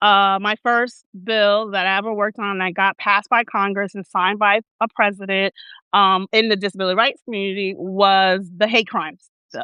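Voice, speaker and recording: In a Newark accent, a woman speaks at a moderate pace with a medium pitch and monotone, flat intonation. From Newark, New Jersey. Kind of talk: interview conversation. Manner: halting, many fillers.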